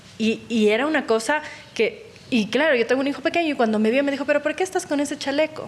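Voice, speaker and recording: Over noticeable background noise, a woman talks at a very fast pace with very even loudness. Her high pitch carries lively intonation. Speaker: journalist podcast host. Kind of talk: interview.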